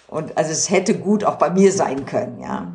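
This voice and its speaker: With noticeable background noise and audible room echo, a woman talks at a moderate pace with ordinary pitch variation. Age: 60s. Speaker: doctor in human rights committee. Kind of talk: casual chat. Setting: at home in her apartment.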